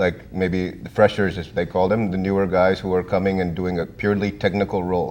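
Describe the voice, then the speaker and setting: A man with an American accent speaks at a fairly quick pace in a very deep, low voice, his intonation flat and monotone, with hardly any pauses. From India. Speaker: IT consultant. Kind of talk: interview.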